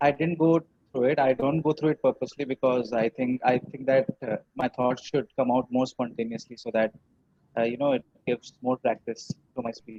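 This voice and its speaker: A man in a Bengali accent, fairly even in intonation, with a dry, close sound and no echo. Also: medium pitch for a man, moderate pace. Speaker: English learner. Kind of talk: mock job interview practice; casual chat. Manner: hesitant, many fillers.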